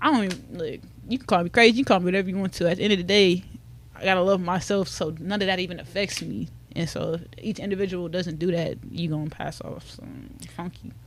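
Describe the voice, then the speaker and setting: A woman's fairly low voice with vocal fry, ordinary pitch variation and a very fast pace. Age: 20s. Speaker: social media mental health advocate. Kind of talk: casual chat.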